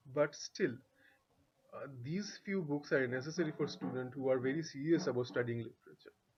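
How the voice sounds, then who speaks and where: Speaking at a moderate pace, a man uses a medium pitch with ordinary pitch variation and a somewhat breathy quality. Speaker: English literature tutor. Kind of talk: tutorial. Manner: halting, self-correcting. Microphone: bad audio.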